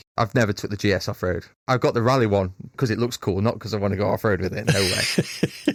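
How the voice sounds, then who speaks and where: With a Derbyshire accent, a man speaks at a very fast pace and fairly low pitch with ordinary pitch variation, on a very clean recording with a silent background. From Derbyshire, England. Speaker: fitness coach for motorcyclists. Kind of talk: casual interview chat. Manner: animated.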